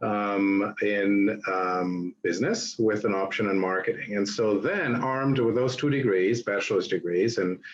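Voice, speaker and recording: Fairly even intonation in a German accent, with very even loudness and hardly any pauses. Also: man, fairly low pitch for a man. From Germany (Berlin). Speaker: hotelier. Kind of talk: guest lecture.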